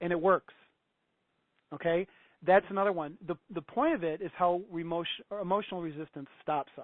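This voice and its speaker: Pausing long and often, a man with a high pitch speaks in fairly even intonation. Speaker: personal development coach. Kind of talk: interview. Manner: fast.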